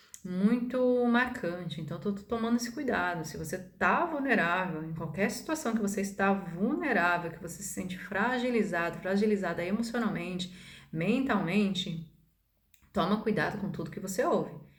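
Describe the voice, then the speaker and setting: Lively intonation and big swings in loudness mark this moderate-paced speech, heard with audible room echo. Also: woman, medium pitch for a woman. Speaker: holistic therapist and spiritual video maker. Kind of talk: casual monologue to camera. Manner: hesitant, many fillers.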